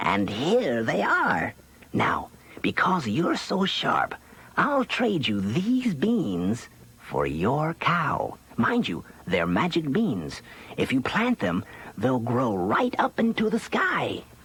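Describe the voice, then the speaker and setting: A man puts on a character voice, pitched fairly high, speaking very slowly with very wide swings in pitch. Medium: read story. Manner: sly, wheedling.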